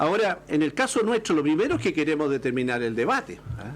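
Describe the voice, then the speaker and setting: Amid noticeable background noise, a man speaks at a fairly quick pace in a fairly high voice that swings very widely in pitch. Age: 60s. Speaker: political panelist. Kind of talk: political panel discussion. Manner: halting.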